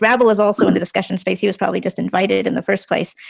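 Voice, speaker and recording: A woman is speaking. The background is quiet. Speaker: tech panelist on decentralized social media. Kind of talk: panel discussion.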